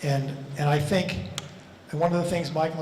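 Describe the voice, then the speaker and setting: Here a man with an American accent speaks at a fairly high pitch with fairly even intonation. Noticeable background noise and audible room echo surround him. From US Northeast (Levittown, Long Island, New York). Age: 70s. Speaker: architect. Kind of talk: lecture Q&A. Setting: lecture hall with audience. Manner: conversational, with many fillers.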